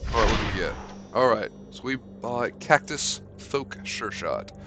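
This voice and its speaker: A man speaks at a medium pitch. Noticeable noise fills the background. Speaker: streamer playing a card game. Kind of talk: live gameplay commentary. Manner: animated.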